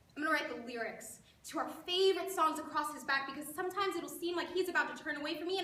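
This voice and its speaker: A woman speaks in a raised, projected voice at a very fast pace. Her pitch is high and her tone bright and sharp. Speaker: spoken word poet; creative writing teacher. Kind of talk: spoken word poetry performance. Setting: live event.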